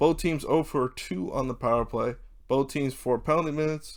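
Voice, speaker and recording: A man with a plain, everyday voice talks at a fairly quick pace and a fairly high pitch, on a very clean recording with a silent background. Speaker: hockey YouTuber. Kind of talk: sports recap commentary. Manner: casual.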